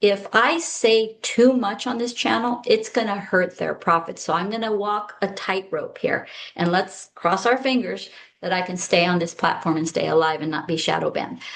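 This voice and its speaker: A woman uses a normal speaking voice at a medium pitch, with ordinary pitch variation and a moderate pace. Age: 60s. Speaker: health strategist; former eye doctor. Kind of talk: casual talk to camera.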